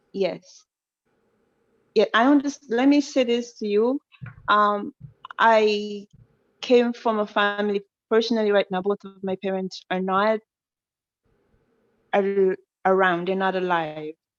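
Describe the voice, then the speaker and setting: A woman with an African accent speaks at a medium pitch and a fairly slow pace, with ordinary pitch variation. She takes long, frequent pauses, and the sound is dry and close with no echo. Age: 20s. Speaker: caller. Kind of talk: call-in advice conversation. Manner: halting.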